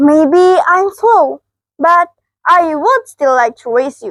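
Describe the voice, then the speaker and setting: A woman's squeaky, put-on character voice at an extremely high pitch and a very slow pace. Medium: read story. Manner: gentle, calm.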